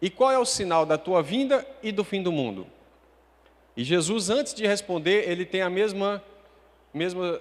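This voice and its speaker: Leaving long, frequent pauses, a man talks fairly slowly at a high pitch with lively intonation. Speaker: preacher. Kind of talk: sermon.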